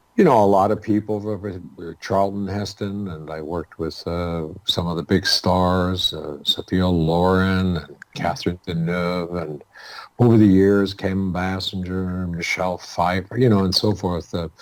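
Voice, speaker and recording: A very deep, low male voice, fairly slow and fairly even in intonation. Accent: Canadian. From Toronto, Canada (born in Calabria, Italy). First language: Italian (Calabrian). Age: 70s. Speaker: actor and poet. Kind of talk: interview conversation. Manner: hesitant, many fillers.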